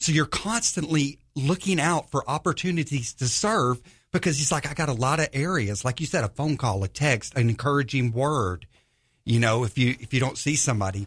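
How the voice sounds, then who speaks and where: In an ordinary speaking voice, a man with an American accent talks at a fairly quick pace, his fairly high pitch and very even loudness captured on a very clean recording with a silent background. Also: lively intonation. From US South, northwest Georgia. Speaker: Bible study group leader. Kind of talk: casual chat.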